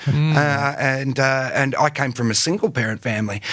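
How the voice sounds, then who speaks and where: An Australian accent with ordinary pitch variation over noticeable background noise. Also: man. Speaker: actor and writer. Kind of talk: podcast interview answer. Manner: casual, halting.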